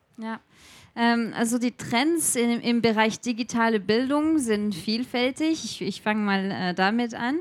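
A fairly high-pitched woman's voice, with ordinary pitch variation, unfolds at a fairly slow pace. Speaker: edtech researcher and startup founder. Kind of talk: interview before a live audience. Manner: halting, many fillers.

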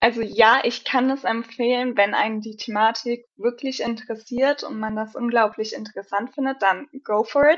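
A woman at a fairly high pitch and moderate pace, with fairly even intonation, hardly any pauses, and a normal speaking voice. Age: 20s. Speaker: pharmacist. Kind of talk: casual chat.

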